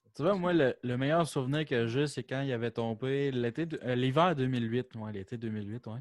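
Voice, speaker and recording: Noticeable background noise accompanies moderate-paced speech with hardly any pauses and ordinary pitch variation. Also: man, medium pitch for a man. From Quebec City, Quebec. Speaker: podcast co-host. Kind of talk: casual chat.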